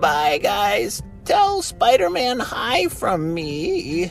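Here is a put-on character voice at a very slow pace. Clear music plays in the background. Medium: read story.

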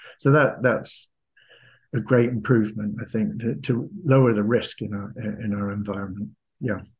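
A man speaks with a Cornish accent in a somewhat breathy voice. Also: fairly low pitch for a man, ordinary pitch variation, moderate pace. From Cornwall, England (Camborne). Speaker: retired mining executive and author. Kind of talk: interview.

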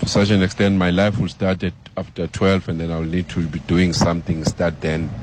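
A man's very deep, low voice with fairly even intonation comes through over noticeable background noise. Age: 30s. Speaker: guest co-host, radio fan. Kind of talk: phone-in radio talk show. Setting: radio studio.

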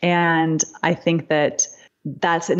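A woman's fairly low pitch at a very slow pace. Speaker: psychotherapist. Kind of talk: casual interview chat.

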